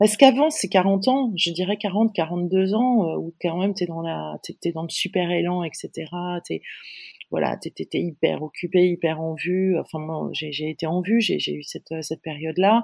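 In a dry, close recording with no echo, a woman talks at a fairly slow pace, her fairly low pitch moving with ordinary variation. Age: 50s. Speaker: digital strategy consultant. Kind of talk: interview. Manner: halting.

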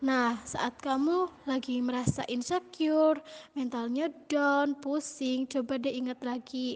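A woman with a shrill, high voice speaks at a very slow pace, her intonation fairly even. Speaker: university student. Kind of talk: recorded birthday message. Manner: stumbling.

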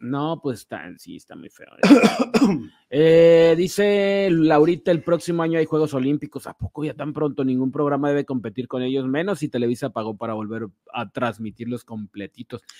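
Fairly high-pitched man with a dark, mellow tone, lively intonation, big swings in loudness and a moderate pace. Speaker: show producer and co-host. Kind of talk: live-streamed gossip show chat.

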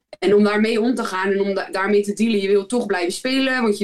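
Her voice is an ordinary speaking voice, with this woman speaking at a medium pitch and a fairly quick pace with fairly even intonation. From Netherlands, Rotterdam area (Zwijndrecht, Barendrecht). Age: 30s. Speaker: professional basketball player. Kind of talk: casual interview.

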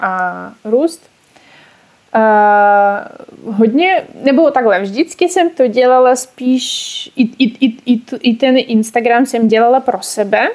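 Using a high pitch with ordinary pitch variation, a woman speaks at a very slow pace. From Russia, Ural region. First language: Russian (speaking Czech). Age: 20s. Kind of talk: casual interview. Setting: online call.

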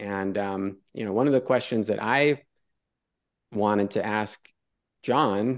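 A man at a fairly low pitch and moderate pace, with fairly even intonation and a quiet background. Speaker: academic discussion participant. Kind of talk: philosophical discussion.

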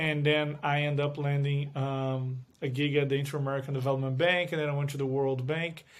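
With a Portuguese accent, a man talks at a fairly quick pace in a monotone, flat intonation, leaving hardly any pauses. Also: fairly high pitch for a man. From Brazil. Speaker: finance executive. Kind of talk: interview. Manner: hesitant, with fillers.

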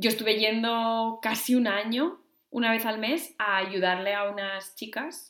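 A woman with a normal speaking voice talks fairly slowly at a fairly high pitch, with ordinary pitch variation. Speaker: podcast co-host. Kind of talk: casual chat.

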